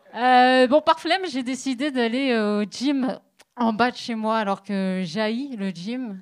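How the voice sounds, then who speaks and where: Very slow speech from a woman with lively intonation. The recording is very clean, the background silent. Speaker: stand-up comedian. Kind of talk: stand-up. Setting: stage with audience.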